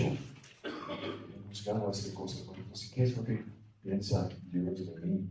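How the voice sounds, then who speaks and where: Very slow speech with fairly even intonation and big swings in loudness comes through with audible room echo. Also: man. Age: 60s. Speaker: priest leading a spiritual retreat. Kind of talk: retreat meditation talk. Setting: retreat for priests.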